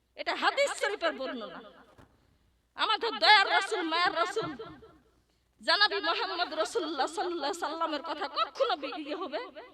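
A woman's raised, projected voice at an extremely high pitch, animated, with lively intonation and a bright, sharp tone, over crowd noise in the background. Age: 40s. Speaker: female Islamic preacher. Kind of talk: religious sermon. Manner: animated, emphatic.

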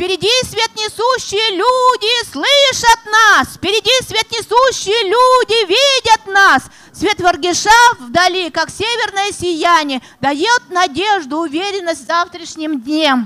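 An extremely high, raised and projected woman's voice at a very slow pace, full of very wide pitch swings. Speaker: poet and writer. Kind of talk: reading poetry and talk at a literary presentation. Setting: stage, festival panel. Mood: solemn, declamatory recitation. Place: stage. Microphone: handheld.

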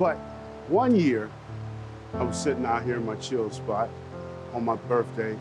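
Clear music plays in the background. Over it, a man with an American accent speaks at a moderate pace. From Virginia, USA. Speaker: storyteller, army veteran. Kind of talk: casual documentary interview. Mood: warm, amused, reflective. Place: forest.

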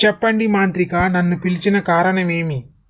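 A cartoonish character voice at a middle pitch and moderate pace. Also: female-sounding voice. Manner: servile, obedient.

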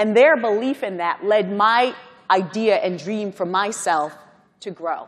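With an American accent, a woman speaks at a fairly slow pace in a medium pitch, using ordinary pitch variation. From Guyana, then Brooklyn, New York; New York. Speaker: corporate executive, panel speaker; speaker. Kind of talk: conference panel remarks. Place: hall. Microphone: lapel.

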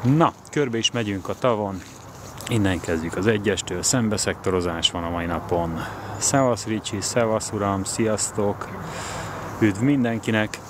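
A man's fairly low, fairly slow voice with ordinary pitch variation, dry with no echo, against noticeable background noise. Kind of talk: casual vlog chat. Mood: cheerful, relaxed. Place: waterside. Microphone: phone near.

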